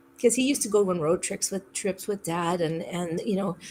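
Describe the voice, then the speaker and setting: Somewhat breathy, a woman of medium pitch speaks at a fairly quick pace. Her pitch variation is ordinary. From Canada (Saskatchewan). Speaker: podcast guest. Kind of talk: casual chat.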